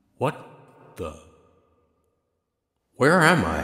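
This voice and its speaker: Putting on a character voice, a man speaks with a raspy, fairly high pitch. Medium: cartoon.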